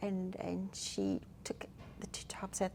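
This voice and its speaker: A woman speaks with a South African accent. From South Africa, Durban. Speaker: hospice counsellor. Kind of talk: interview. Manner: halting, many fillers.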